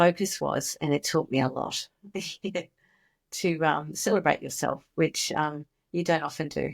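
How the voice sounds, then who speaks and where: A woman's very deep, low pitch with vocal fry, at a fairly slow pace with long, frequent pauses, on a very clean recording with a silent background and a dry, close sound with no echo. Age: 60s. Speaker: former early childhood educator, founder of a children's mindfulness program. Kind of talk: podcast interview. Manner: animated.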